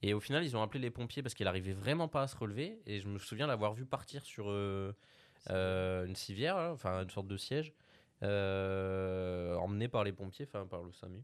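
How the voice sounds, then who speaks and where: In a plain, everyday voice, a man speaks at a fairly low pitch and moderate pace with ordinary pitch variation over a quiet background. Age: young. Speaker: podcast co-host, editor. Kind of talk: casual chat.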